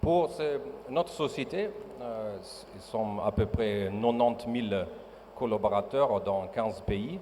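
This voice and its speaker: Speaking with a non-native accent at a very slow pace, a man has a medium pitch and ordinary pitch variation. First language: not French (speaking French). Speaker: mining company executive. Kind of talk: panel discussion. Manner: halting.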